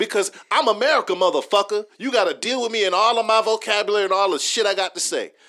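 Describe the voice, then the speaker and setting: A man's high-pitched, raised, projected voice with a bright, sharp tone, ordinary pitch variation and a very fast pace, on a very clean recording with a silent background. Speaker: podcast host. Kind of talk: casual chat. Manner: expressive, profane.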